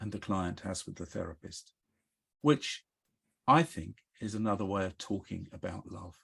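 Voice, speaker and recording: A man speaks at a fairly slow pace in a fairly low pitch. His voice is somewhat breathy. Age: 70s. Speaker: psychotherapist. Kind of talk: interview.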